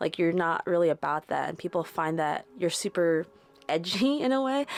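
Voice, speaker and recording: Over music in the background, a woman speaks at a fairly low pitch and a moderate pace, the sound dry and close with no echo. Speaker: tarot reader. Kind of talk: tarot reading. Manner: casual, filler-heavy.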